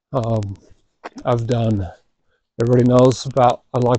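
A man speaks at a medium pitch and a moderate pace. His tone is dark and mellow. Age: 40s. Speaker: podcast host, father. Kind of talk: casual monologue.

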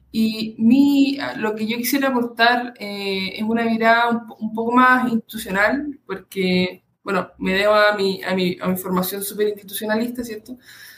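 The pace here is fairly slow. It is a normal speaking voice, with ordinary pitch variation. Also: woman, fairly high pitch for a woman, hardly any pauses. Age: 20s. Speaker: doctoral student in political science. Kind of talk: interview.

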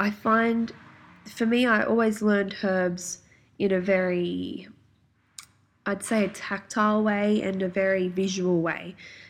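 A woman with an Australian accent talks at a medium pitch and a fairly slow pace. Her intonation is monotone and flat, with long, frequent pauses. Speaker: naturopath and podcast host. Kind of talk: solo podcast talk. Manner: casual, many filler ums.

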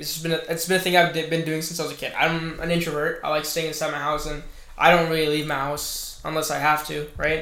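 Over noticeable background noise and audible room echo, a man speaks fairly quickly in a fairly high, monotone, flat voice. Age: 20s. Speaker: podcast guest. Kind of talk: casual chat.

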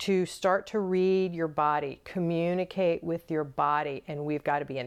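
Against a quiet background, a woman with a normal speaking voice and an American accent speaks fairly slowly at a fairly low pitch with fairly even intonation. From US South. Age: 50s. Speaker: intimacy and leadership coach. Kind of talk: casual interview chat. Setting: recorded in her bed.

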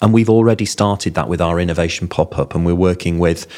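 With a Yorkshire accent, a man speaks at a very deep, low pitch. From Yorkshire, Bingley. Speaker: health service chief executive. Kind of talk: interview.

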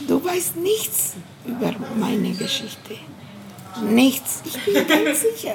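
Amid audible room echo and music in the background, a woman with a Bolivian accent and a fairly high pitch makes very wide pitch swings at a very slow pace, with long, frequent pauses. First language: Spanish (speaking German). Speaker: feminist activist. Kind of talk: interview. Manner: halting.

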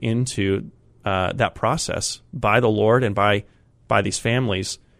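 On a very clean recording with a silent background, a man with an American accent speaks at a medium pitch with vocal fry and ordinary pitch variation. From Colorado plains, US. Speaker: pastor. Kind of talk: interview. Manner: halting, many fillers.

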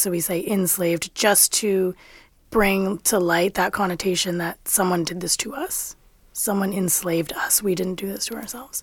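A woman with an unremarkable speaking voice, medium pitch, moderate pace and fairly even intonation. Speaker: nonprofit executive director. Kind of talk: panel discussion. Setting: studio.

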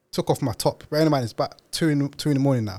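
A man speaks with a London accent. His intonation stays fairly even. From East London, England. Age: 30s. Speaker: podcast founder and host. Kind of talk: interview. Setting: studio.

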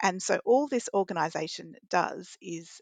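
A woman with an Australian accent speaks with ordinary pitch variation, the sound dry and close with no echo over a quiet background. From Wagga Wagga, New South Wales, Australia. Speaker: veterinary radiologist, committee chair. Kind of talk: interview.

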